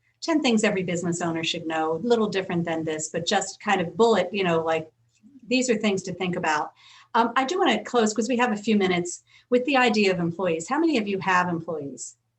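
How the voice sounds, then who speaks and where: A woman talks at a very fast pace in a medium pitch, her intonation lively. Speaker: business attorney. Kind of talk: webinar talk with Q&A.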